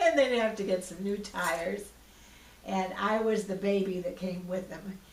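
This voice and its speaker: A woman speaks at a medium pitch and a moderate pace, with ordinary pitch variation. Noticeable background noise and audible room echo are present. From US Pacific Northwest (Washington, Idaho). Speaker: retired artist, oral history interviewee. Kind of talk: oral history interview. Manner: halting, with restarts and fillers.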